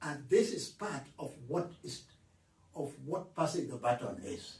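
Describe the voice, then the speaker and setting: A man with a fairly high, vocal-fry voice speaks fairly slowly, his pitch swinging very widely and his loudness shifting a lot, in a room with audible echo. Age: 80s+. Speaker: author. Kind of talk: interview.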